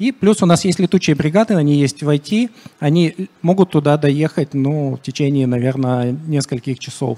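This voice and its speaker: Dry and close with no echo, this recording has a man speaking in a normal speaking voice. His pitch is fairly high for a man, with ordinary variation at a moderate pace. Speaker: IT security manager. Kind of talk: conference talk. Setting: stage with audience.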